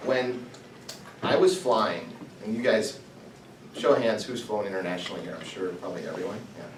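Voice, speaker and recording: A man with an American accent speaks at a fairly quick pace and medium pitch, with ordinary pitch variation and big swings in loudness. Long, frequent pauses break up his speech amid noticeable background noise and audible room echo. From US Midwest. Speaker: entrepreneur, guest speaker. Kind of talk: talk to students. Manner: fast.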